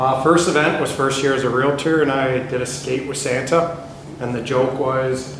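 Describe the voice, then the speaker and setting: A man talks at a moderate pace and medium pitch, his intonation monotone and flat. Noticeable background noise and audible room echo surround him. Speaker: real estate agent. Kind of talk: panel discussion. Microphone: speaking without the microphone.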